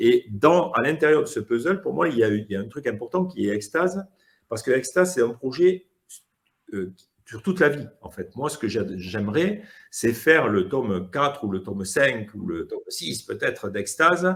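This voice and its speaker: Speaking at a moderate pace and medium pitch, a man makes very wide pitch swings and big swings in loudness. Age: 60s. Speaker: comic book author. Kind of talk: casual interview. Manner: hesitant, many fillers.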